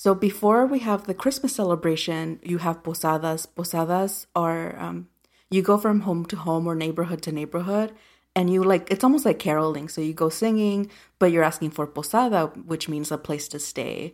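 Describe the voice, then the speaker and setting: In a plain, everyday voice, a woman talks at a moderate pace with fairly low pitch and ordinary pitch variation. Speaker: podcast co-host. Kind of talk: casual movie review chat.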